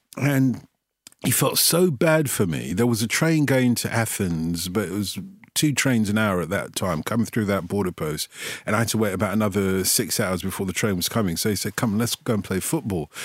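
On a very clean recording with a silent background, a man with a London accent speaks fairly quickly with lively intonation. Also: fairly low pitch for a man. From London, England (Tottenham, North London; also South London). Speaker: football radio presenter. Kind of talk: casual interview chat.

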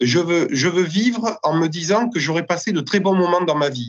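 A man speaks at a moderate pace, his high voice making very wide pitch swings. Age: 30s. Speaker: winegrower and village mayor. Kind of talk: interview.

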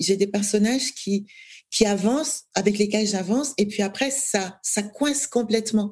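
Somewhat breathy and very even in loudness, a woman's medium-pitched voice moves at a fairly slow pace. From Cameroon, Douala. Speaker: novelist. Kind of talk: interview conversation.

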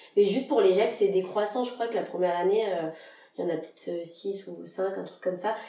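Amid noticeable background noise and audible room echo, a woman speaks at a moderate pace and medium pitch with ordinary pitch variation. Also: big swings in loudness. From France, Lyon. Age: 20s. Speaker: general practice resident. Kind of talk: casual interview.

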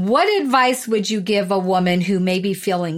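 In a very clean recording with a silent background, a woman uses a plain, everyday voice at a medium pitch, with lively intonation and a fairly slow pace. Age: 60s. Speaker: podcast host and coach. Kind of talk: interview.

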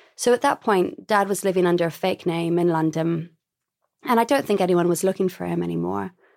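A woman uses a normal speaking voice, fairly low in pitch. She moves at a fairly quick pace in a very clean recording with a silent background. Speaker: memoir author. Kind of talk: interview.

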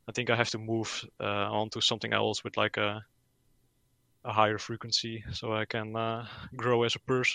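A man's medium-pitched voice with a Dutch accent, bright and sharp in tone, at a moderate pace with monotone, flat intonation. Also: quiet background. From Netherlands. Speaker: gaming YouTuber. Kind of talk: casual interview.

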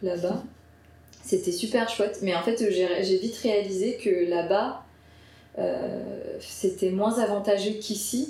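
A woman at medium pitch speaks very slowly with fairly even intonation and long, frequent pauses, amid audible room echo. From Paris suburbs, France. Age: 30s. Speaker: video editor. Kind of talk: casual interview. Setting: editing studio.

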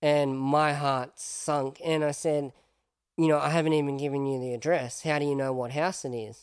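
This man's intonation stays monotone and flat. He talks with an Australian accent. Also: fairly high pitch for a man, moderate pace. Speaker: podcast host. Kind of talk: casual interview chat.

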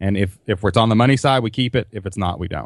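A medium-pitched man with a Kentucky accent. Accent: Southern US (Kentucky). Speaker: online business entrepreneur. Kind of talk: interview. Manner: loud; animated.

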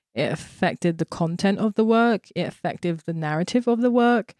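A woman with a London accent talks at a moderate pace in a dry, close sound with no echo, on a very clean recording with a silent background. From South East London. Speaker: visual artist. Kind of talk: interview conversation.

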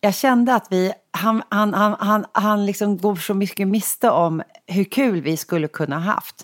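The pitch varies in an ordinary way. The loudness stays very even. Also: woman, medium pitch for a woman, fairly slow pace. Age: 40s. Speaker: podcast host. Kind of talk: casual chat.

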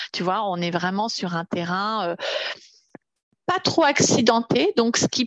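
Lively intonation marks the woman's speech, heard in a dry, close sound with no echo. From Paris region, France. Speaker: Nordic walking coach. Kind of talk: casual interview.

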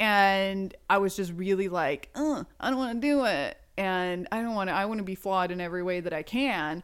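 A woman speaks in an ordinary speaking voice, medium in pitch with ordinary variation. She keeps a moderate pace with hardly any pauses, on a very clean recording with a silent background. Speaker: inventor and YouTuber. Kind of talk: casual interview chat. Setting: recording in hosts' home.

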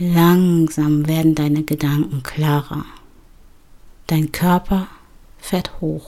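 Her voice is dark and mellow, with a very deep, low pitch and fairly even intonation. The woman speaks at a very slow pace with long, frequent pauses. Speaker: podcast host, bedtime story and meditation narrator. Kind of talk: guided meditation. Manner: slow, soft-spoken, soothing; calm, measured pacing with pauses.

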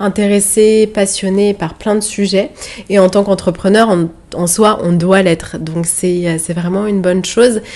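Speaking at a fairly slow pace, a woman keeps a medium pitch. Her intonation stays fairly even. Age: 20s. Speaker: podcast host and digital marketing entrepreneur. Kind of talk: solo podcast monologue. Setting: outdoors overlooking rice fields in Bali.

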